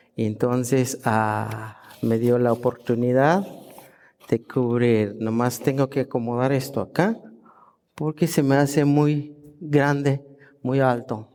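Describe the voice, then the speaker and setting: Speaking very slowly with a Guatemalan accent, a man keeps a very even loudness, fairly even intonation and a medium pitch in a dark, mellow tone. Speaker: guest preacher. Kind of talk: sermon. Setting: church service.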